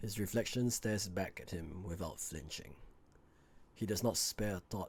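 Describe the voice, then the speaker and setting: A somewhat breathy man speaks at a fairly slow pace. His pitch variation is ordinary. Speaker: amateur voice actor. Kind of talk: audiobook lore narration.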